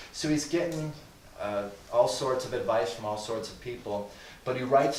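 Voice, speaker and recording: A man at medium pitch, with noticeable background noise and audible room echo. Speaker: guest speaker on Christians and government. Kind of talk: lecture to a live group. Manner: fast.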